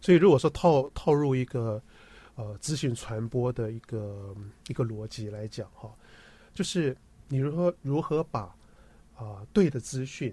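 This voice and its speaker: A man at medium pitch with a dark, mellow, somewhat breathy tone, lively intonation, big swings in loudness and a fairly slow pace full of long, frequent pauses, on a very clean recording with a silent background. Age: 50s. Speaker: health communication director, former TV professional. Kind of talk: radio interview.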